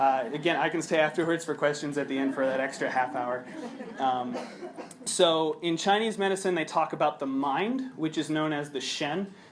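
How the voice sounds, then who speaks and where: With an American accent and ordinary pitch variation, a man's fairly high voice comes through noticeable background noise. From US Midwest, Chicago. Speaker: researcher and yoga teacher. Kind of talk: conference presentation. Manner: fast.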